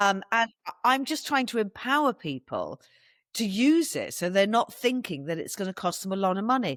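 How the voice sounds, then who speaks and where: A woman with an English accent speaks at a moderate pace in an animated tone, her fairly high pitch swinging very widely. The recording is very clean, with a silent background and a dry, close sound with no echo. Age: 60s. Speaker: wellness event organiser and podcaster. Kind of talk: podcast interview.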